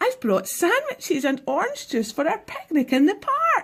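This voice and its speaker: A woman puts on a squeaky character voice at an extremely high pitch, swinging very widely in pitch while keeping her loudness very even. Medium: read story. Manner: warm, doting.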